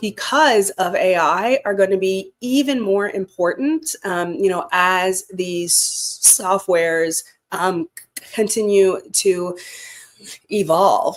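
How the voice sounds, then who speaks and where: A woman's medium-pitched voice with lively intonation at a very slow pace. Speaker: public speaker. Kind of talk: interview answer. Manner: halting, many fillers.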